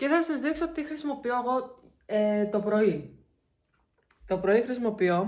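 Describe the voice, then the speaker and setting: Lively intonation marks this fairly slow delivery, broken by long, frequent pauses. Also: woman, high pitch for a woman. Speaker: vlogger. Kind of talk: casual vlog chat.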